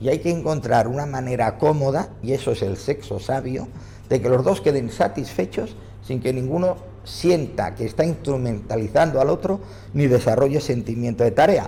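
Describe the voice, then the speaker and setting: Here a man has an ordinary speaking voice at a medium pitch. He talks at a moderate pace with ordinary pitch variation. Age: 60s. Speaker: psychologist and author. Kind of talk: interview answers.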